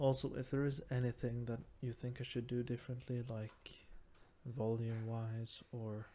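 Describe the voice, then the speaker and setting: A man speaks with a Norwegian accent at a medium pitch. His intonation is flat and monotone, and his pace is moderate. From Norway. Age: 20s. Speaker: gaming YouTuber. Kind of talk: let's play gaming commentary. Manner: halting, searching for words.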